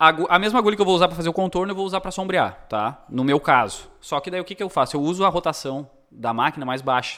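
Talking at a very fast pace, a man with a high voice keeps his intonation lively. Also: very clean recording, silent background. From Rio Grande do Sul, Brazil (Cachoeira do Sul). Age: 30s. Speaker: tattoo artist. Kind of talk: casual chat.

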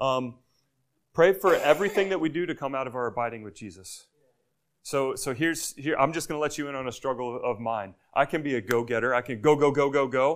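A man speaks fairly quickly in a plain, everyday voice, fairly high in pitch with ordinary variation. The recording is very clean, with a silent background. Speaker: missionary preacher. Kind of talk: sermon. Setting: church.

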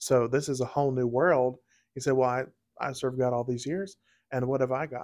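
An ordinary speaking voice from a man, medium in pitch, fairly quick, with fairly even intonation, in a very clean recording over a silent background. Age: 20s. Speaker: podcast host. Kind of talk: casual faith interview.

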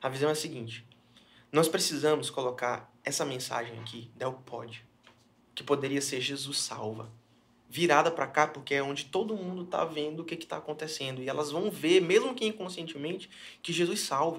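An ordinary speaking voice from a man, pitched fairly high, moderate in pace, with ordinary pitch variation. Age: 20s. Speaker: pastor. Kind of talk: casual chat. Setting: studio.

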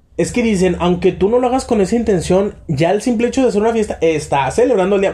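The man talks at a very fast pace and a high pitch. His loudness stays very even, and his pitch varies in an ordinary way. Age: 20s. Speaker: podcast host. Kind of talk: casual chat.

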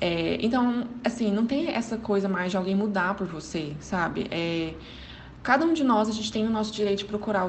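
A woman speaks with ordinary pitch variation over noticeable background noise and audible room echo. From Goiânia, Brazil. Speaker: psychology graduate. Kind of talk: recorded advice commentary.

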